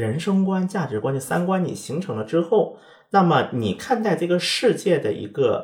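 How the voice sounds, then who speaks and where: This man's voice is high-pitched. Its pitch moves across a very wide range. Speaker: podcast host and former correspondent in Korea. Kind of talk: casual chat.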